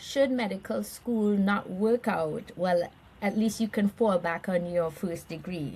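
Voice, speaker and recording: In a Caribbean accent, a woman speaks very slowly in a somewhat breathy voice of medium pitch, with ordinary pitch variation. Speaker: nonprofit chief executive. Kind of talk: interview conversation.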